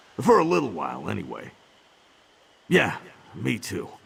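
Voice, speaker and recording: A man performs in a put-on character voice. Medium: video game. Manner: gruff, wry.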